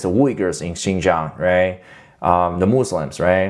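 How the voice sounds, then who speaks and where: A man speaks with a Chinese accent. His pace is moderate. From China. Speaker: YouTuber, political commentator. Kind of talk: casual vlog commentary. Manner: halting, many fillers.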